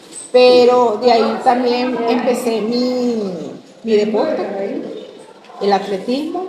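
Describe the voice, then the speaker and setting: A woman speaks at a fairly high pitch with lively intonation. Audible room echo and noticeable background noise sit around her. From Venezuela, Caracas. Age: 60s. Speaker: interviewee, former school athlete. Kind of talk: interview.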